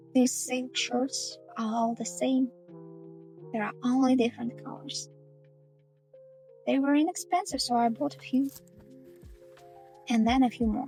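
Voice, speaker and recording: Music plays in the background as a woman speaks with long, frequent pauses. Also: fairly slow pace. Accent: Russian. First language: Russian. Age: 30s. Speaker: sewing factory worker. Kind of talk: personal vlog narration.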